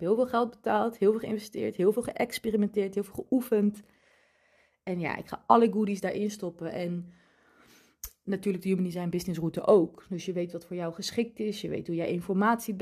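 A woman with a dark, mellow tone talks at a fairly quick pace, her loudness swinging widely. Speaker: podcast host and human design coach. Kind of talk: solo podcast monologue. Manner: calm, relaxed.

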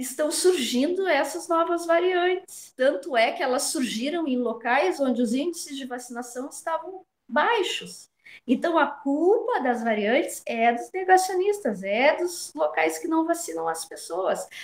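Very wide pitch swings in a woman's high-pitched voice, delivered at a fairly slow pace. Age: 40s. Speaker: nursing professor. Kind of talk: radio interview.

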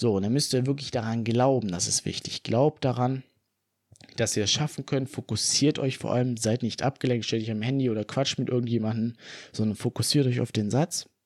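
A man with an unremarkable speaking voice talks at a medium pitch and a moderate pace. His intonation stays fairly even on a very clean recording with a silent background. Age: 20s. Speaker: fitness podcaster. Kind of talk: solo podcast monologue.

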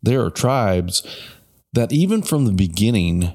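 A normal speaking voice from a man at a fairly slow pace, lively in intonation, on a very clean recording with a silent background. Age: 50s. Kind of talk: casual chat about Christianity.

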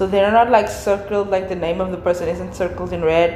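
Over noticeable background noise and audible room echo, a woman of medium pitch speaks at a fairly quick pace. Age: 20s. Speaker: podcast host. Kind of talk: casual monologue. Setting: office at work. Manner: animated.

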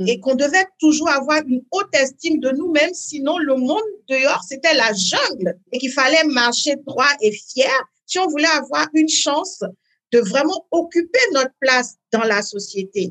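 Intonation is lively, and the pace is fairly slow. The voice has a slight West African accent. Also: woman, high pitch for a woman. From Benin (Parakou). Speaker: life coach. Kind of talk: interview.

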